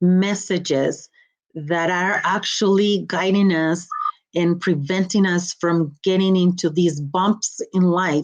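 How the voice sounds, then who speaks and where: In a Mexican accent, a woman speaks at a very slow pace with medium pitch and fairly even intonation over a quiet background. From Mexico, Guanajuato. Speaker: motivational speaker and coach. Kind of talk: podcast interview.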